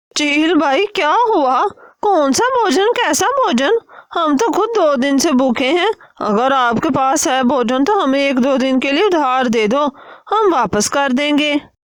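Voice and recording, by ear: In a cartoonish character voice, a woman speaks at a moderate pace with a high pitch.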